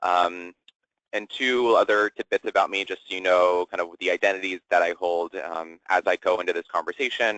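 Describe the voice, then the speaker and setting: In an American accent, the voice moves at a fairly quick pace with ordinary pitch variation and a bright, sharp tone, recorded dry and close with no echo. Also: man. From US Midwest, southwest Ohio. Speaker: LGBTQ inclusion educator. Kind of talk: webinar presentation. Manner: fast.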